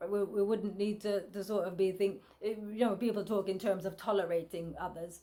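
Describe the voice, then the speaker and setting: At a moderate pace, a woman talks in a monotone with flat intonation. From UK, Jamaican family. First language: Jamaican patois. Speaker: vlogger. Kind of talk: casual vlog monologue. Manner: halting, many repetitions and fillers.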